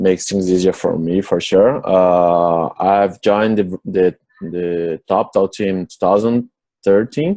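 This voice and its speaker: Very deep, low male voice in a Portuguese accent, dark and mellow in tone, with fairly even intonation and a very slow pace. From Brazil, São Paulo. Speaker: software developer. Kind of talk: interview. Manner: halting.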